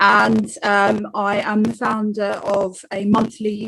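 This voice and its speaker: A woman speaks at a medium pitch. She has a slight South London accent. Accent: slight South London twang. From South East London. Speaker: bartender and writer. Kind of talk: self-introduction on panel. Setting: online webinar.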